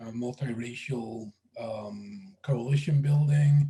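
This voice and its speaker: A dark, mellow tone comes through in a voice that is somewhat breathy. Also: man. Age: 60s. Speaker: professor and moderator. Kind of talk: webinar interview. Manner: halting.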